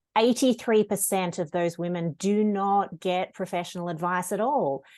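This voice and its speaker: An Australian accent at a moderate pace, with ordinary pitch variation over a quiet background. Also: woman, medium pitch for a woman. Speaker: lawyer. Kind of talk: interview. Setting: podcast interview. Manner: direct.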